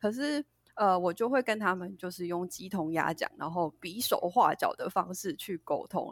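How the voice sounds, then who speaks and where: Lively intonation at a moderate pace, captured in a very clean recording with a silent background and a dry, close sound with no echo. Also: woman. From Taiwan. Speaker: English pronunciation teacher. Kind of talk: casual chat.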